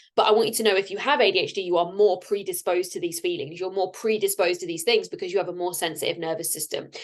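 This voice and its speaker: A woman speaks at a very fast pace. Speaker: podcast host and life coach. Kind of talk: solo podcast monologue.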